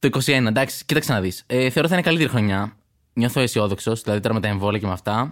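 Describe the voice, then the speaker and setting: Recorded very cleanly with a silent background, a man talks at a very fast pace with ordinary pitch variation and very even loudness. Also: medium pitch for a man. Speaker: stand-up comedian. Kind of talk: casual interview chat.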